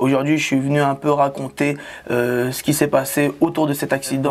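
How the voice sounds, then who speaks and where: A man talks at a moderate pace in a monotone, flat intonation, with noticeable background noise. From Tunis and Aubervilliers (Paris suburbs). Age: 20s. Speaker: magician and comedian. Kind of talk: interview testimony. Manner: hesitant, many fillers.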